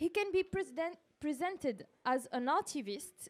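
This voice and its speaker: In a strong French accent, a woman with a high pitch speaks fairly slowly with lively intonation. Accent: heavy French. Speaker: journalist, panel moderator. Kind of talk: panel discussion moderation. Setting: live-streamed panel event.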